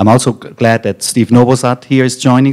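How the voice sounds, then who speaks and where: Man with a German accent, dark, mellow tone and monotone, flat intonation. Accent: German accent, noticeable. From Germany. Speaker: technology company executive. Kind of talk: conference panel moderation. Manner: hesitant, many fillers.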